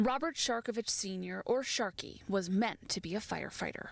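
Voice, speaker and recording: This woman has an unremarkable speaking voice, pitched fairly high. She talks at a moderate pace. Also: ordinary pitch variation. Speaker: television news reporter. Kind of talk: TV news field reporting, live and packaged.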